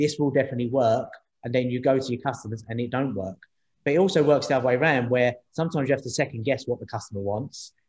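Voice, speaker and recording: A man in a London accent, medium in pitch and somewhat breathy, at a very fast pace. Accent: London accent, noticeable. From East London. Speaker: startup co-founder, former taxi driver. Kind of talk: interview on panel event. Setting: video call. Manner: repetitive, halting.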